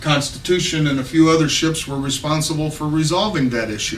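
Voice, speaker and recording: A man with a slight Southern US accent, amid noticeable background noise and audible room echo. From Texas. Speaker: political candidate. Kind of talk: campaign speech. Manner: casual, unscripted with hesitations.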